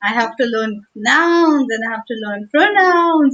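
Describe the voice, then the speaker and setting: With an Indian accent, a woman talks at a very slow pace with very wide pitch swings, in a dry, close sound with no echo. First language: Hindi. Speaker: teacher. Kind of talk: livestream talk.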